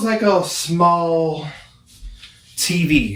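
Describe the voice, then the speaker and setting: Loud and high-pitched, a man speaks with ordinary pitch variation amid audible room echo. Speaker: product reviewer, visually impaired. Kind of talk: casual product review. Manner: loud, projecting voice.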